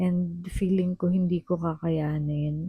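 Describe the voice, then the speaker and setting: Her voice is soft-spoken, somewhat breathy and dark and mellow, a woman at fairly low pitch with monotone, flat intonation, recorded dry and close with no echo. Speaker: vlogger. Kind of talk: casual vlog talk. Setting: at home.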